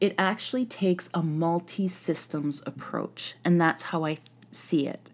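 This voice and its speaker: Talking at a fairly slow pace, a woman uses ordinary pitch variation. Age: 40s. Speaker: podcast host, wellness and healing. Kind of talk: solo podcast monologue. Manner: casual, with filler words.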